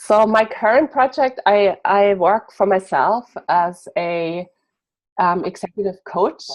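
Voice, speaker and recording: This woman has a German accent. She talks at a fairly slow pace. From Germany. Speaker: executive coach. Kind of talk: interview.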